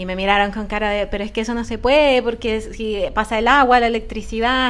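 Delivered at a fairly quick pace, the speech has fairly even intonation and comes with a Chilean accent. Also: woman. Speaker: podcast co-host. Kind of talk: casual chat.

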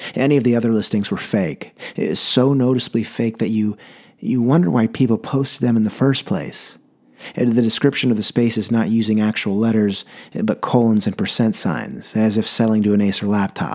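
A man with a medium pitch talks at a fairly quick pace in a normal speaking voice, captured in a very clean recording with a silent background. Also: ordinary pitch variation, very even loudness. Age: 20s. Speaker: solo podcast host, personal essayist. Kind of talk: scripted narration of personal stories.

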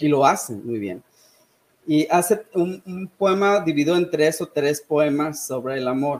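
A normal speaking voice from a man, fairly high in pitch, fairly slow, with lively intonation. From Sonora, northern Mexico. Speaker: history and English teacher. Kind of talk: casual chat.

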